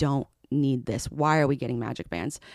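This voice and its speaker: In an American accent, a woman with a very deep, low pitch talks at a fairly quick pace with lively intonation, on a very clean recording with a silent background and a dry, close sound with no echo. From Southern California. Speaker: social media creator. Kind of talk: casual interview chat.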